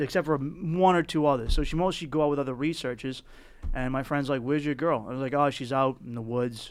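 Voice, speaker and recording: A man with a Boston accent and a fairly high pitch, talking at a very fast pace with ordinary pitch variation, on a very clean recording with a silent background. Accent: thick Boston. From South Boston, Massachusetts. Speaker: comedian. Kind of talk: casual chat.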